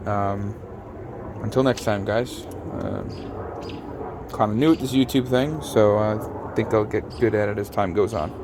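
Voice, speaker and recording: A quiet man with a fairly low pitch, fairly slow and with long, frequent pauses, amid audible room echo and noticeable background noise. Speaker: car restoration YouTuber. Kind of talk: casual garage vlog talk. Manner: monotone.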